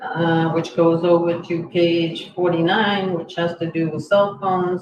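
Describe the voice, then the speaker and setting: With fairly even intonation and a fairly low pitch, a woman speaks at a very slow pace in a room with audible echo. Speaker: select board chair. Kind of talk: public meeting. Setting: town hall meeting room.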